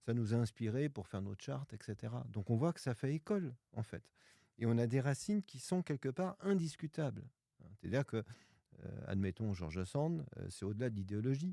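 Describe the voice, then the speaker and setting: Speaking at a moderate pace with a medium pitch and very wide pitch swings, a man has a dark, mellow tone, captured in a very clean recording with a silent background and a dry, close sound with no echo. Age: 60s. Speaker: pianist and author. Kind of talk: podcast interview. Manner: hesitant fillers (euh).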